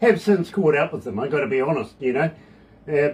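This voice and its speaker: A man with a New Zealand accent and a fairly high-pitched voice. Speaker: radio DJ. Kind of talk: casual radio interview. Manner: animated, jokey.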